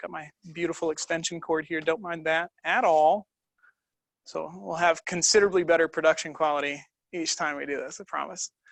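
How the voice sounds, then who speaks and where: Fairly even intonation marks this man's speech. He talks at a fairly quick pace. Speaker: yoga instructor. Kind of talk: live online class setup, casual; guided yoga instruction. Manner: fast.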